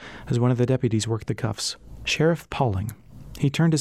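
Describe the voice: Just plain reading aloud.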